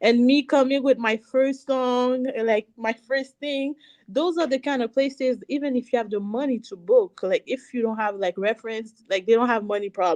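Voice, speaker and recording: A high-pitched woman with a French accent, moderate pace, ordinary pitch variation and hardly any pauses. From Canada, Haitian family, Montreal area. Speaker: singer and cosmetics business owner. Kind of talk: interview.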